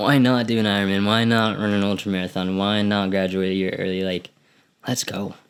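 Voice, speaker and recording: Monotone and flat in intonation, the speech comes at a fairly quick pace. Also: man, fairly low pitch for a man, very clean recording, silent background. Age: 20s. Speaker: podcast host and college athlete. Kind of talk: solo podcast monologue. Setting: alone in his room. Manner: casual, halting with repetitions.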